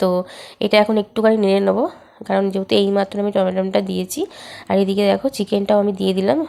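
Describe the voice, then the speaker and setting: Here is a woman with a medium pitch and a dark, mellow tone. Her intonation is fairly even. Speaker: home cooking vlogger. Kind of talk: cooking tutorial voiceover.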